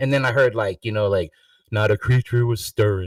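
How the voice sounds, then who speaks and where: A man with vocal fry and an American accent, dry and close with no echo. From New York. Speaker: musician joining an open online panel. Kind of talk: casual chat. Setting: online video livestream panel. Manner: rambling, halting with many fillers.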